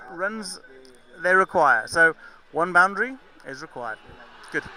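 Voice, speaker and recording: A man's high-pitched voice is raised and projected, with lively intonation. He keeps a moderate pace. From Zimbabwe, England and South Africa. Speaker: cricket commentator. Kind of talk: live commentary. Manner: animated.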